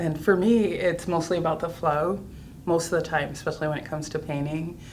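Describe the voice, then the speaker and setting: Her intonation fairly even, a woman with a very deep, low pitch speaks amid audible room echo. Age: 60s. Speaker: artist. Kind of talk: casual chat.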